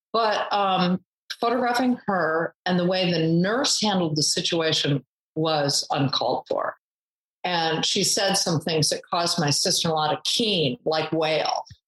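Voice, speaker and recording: The pace here is fairly slow. It is an ordinary speaking voice, and the pitch varies in an ordinary way. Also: woman, fairly low pitch for a woman, very even loudness. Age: 60s. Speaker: photographer and charity founder. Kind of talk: interview.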